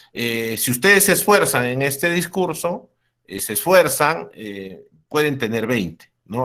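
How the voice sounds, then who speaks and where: A man's bright, sharp voice at medium pitch with very wide pitch swings, in a very clean recording with a silent background. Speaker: university lecturer. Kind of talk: lecture. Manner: halting; loud.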